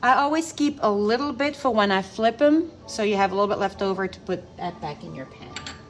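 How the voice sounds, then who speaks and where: Over music in the background, a woman with a fairly high pitch talks with very wide pitch swings, big swings in loudness and hardly any pauses. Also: fairly quick pace. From Belgium. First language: not English (English is her third language). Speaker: home cook, cooking channel host. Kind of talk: cooking tutorial. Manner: casual, chatty.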